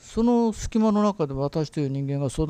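With a dark, mellow tone, the voice makes very wide pitch swings at a moderate pace. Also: man. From Japan, Beppu (Oita, Kyushu). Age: 60s. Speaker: lecturer. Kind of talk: solo talk, personal reminiscence. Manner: halting, with many fillers.

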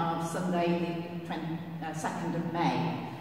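A woman amid strong room echo and light background noise. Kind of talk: church notices announcement. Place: church.

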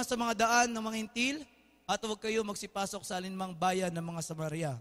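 Against a quiet background, a man shouts at a fairly quick pace with an animated tone and lively intonation. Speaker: preacher. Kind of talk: sermon. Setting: church with congregation. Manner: animated, call-and-response, urging the congregation to shout back; warm, informal, mixes Tagalog with English. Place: church.

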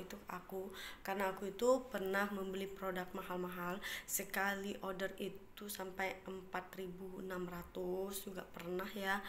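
There is light background noise. Over it, a woman talks. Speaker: vlogger. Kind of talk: casual vlog chat. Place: home room. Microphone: phone near.

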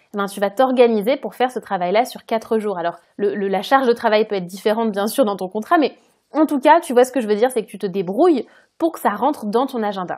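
A woman with a fairly high pitch speaks at a fairly quick pace with lively intonation. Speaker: podcast host and career change coach. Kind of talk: solo podcast monologue, casual advice. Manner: casual, conversational.

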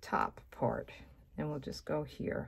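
A woman at a very slow pace. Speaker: card making demonstrator. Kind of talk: tutorial. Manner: casual, chatty.

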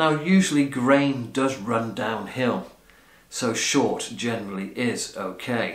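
The background is quiet, though room echo is audible. A man speaks with ordinary pitch variation. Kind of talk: casual vlog chat. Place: home room. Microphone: camera far.

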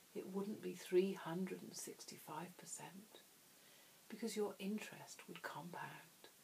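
Whispering at a fairly slow pace, a woman's voice makes big swings in loudness over noticeable background noise. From England. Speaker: hypnotherapist. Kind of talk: hypnosis trance induction. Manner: soft-spoken, slow.

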